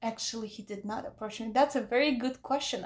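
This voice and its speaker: Her pitch is fairly high, with ordinary variation. The woman has a plain, everyday voice and speaks at a fairly quick pace. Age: 30s. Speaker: podcast guest setting up a dating profile. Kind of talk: casual chat.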